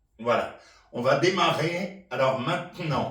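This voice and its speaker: Heard with audible room echo, a man with a high pitch talks at a very slow pace. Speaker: senior chair exercise instructor. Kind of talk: exercise instruction. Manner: repetitive rhythmic cueing.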